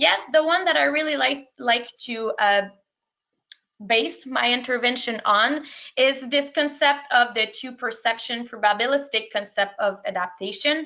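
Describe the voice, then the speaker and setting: With a French accent, a woman talks at a fairly slow pace in a high pitch with lively intonation. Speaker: sport psychology practitioner. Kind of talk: webinar presentation. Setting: online webinar. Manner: halting.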